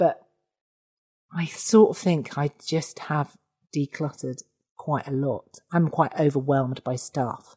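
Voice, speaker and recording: A woman's very deep, low voice, dark and mellow in tone and somewhat breathy, with ordinary pitch variation, a fairly slow pace and long, frequent pauses in a dry, close recording with no echo. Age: 40s. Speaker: comedian. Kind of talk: casual chat.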